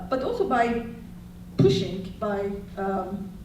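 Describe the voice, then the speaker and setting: A woman talks amid noticeable background noise, with audible room echo. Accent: Turkish. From Turkey. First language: Turkish. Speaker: historian. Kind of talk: panel talk.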